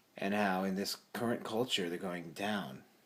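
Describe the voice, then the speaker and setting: A quiet man speaks at a fairly slow pace in a fairly low pitch. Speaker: vlogger. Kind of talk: casual monologue. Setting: at home at night, parents asleep.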